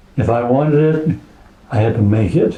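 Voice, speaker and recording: There is noticeable background noise as a man speaks with an American accent. He keeps a moderate pace and ordinary pitch variation. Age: 80s. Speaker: woodturning club member. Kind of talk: show and tell presentation.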